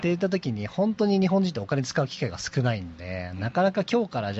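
A somewhat breathy man talks with very wide pitch swings. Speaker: CEO of a YouTube creator management company. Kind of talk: interview conversation.

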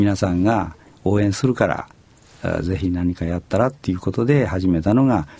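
Speaking at a moderate pace, a man has a very deep, low pitch, a dark, mellow tone and ordinary pitch variation. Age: 70s. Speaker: company president. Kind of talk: interview conversation.

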